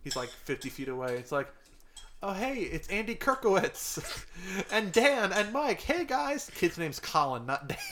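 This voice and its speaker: The voice's pitch swings very widely over noticeable background noise. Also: man, high pitch for a man, moderate pace. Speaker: podcast co-host. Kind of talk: casual chat.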